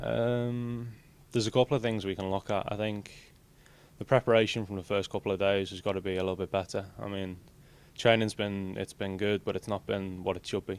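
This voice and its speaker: On a very clean recording with a silent background, a man with an English accent speaks at a fairly quick pace, his fairly low pitch carried by fairly even intonation. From England. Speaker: college soccer player. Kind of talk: interview.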